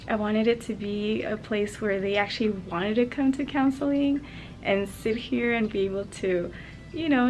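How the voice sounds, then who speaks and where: A soft-spoken woman's fairly high voice at a moderate pace. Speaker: interior designer and school counselor. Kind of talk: casual vlog. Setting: school office.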